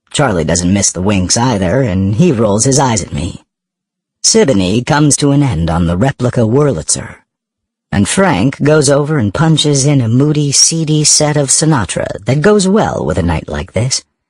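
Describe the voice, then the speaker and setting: A somewhat breathy man talks at a medium pitch and a moderate pace. His pitch swings very widely. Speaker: audiobook narrator. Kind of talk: audiobook narration.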